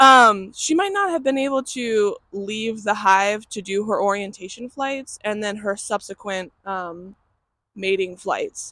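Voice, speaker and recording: A woman speaks loudly and at a fairly slow pace, her tone bright and sharp. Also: fairly high pitch for a woman, ordinary pitch variation. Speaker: beekeeper. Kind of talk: casual vlog narration. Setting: outdoors.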